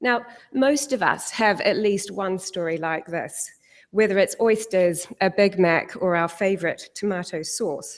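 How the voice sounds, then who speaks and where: A woman speaks at a fairly slow pace in a New Zealand accent, her medium pitch showing ordinary variation. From New Zealand, South Island. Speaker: corporate sustainability head. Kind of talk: conference talk.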